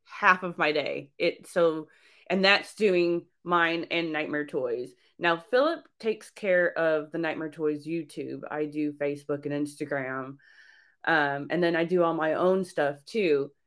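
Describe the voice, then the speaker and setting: A woman speaks at a fairly slow pace in a normal speaking voice. Her pitch is fairly low, with ordinary variation. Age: 40s. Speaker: horror collectibles shop owner. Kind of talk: casual interview.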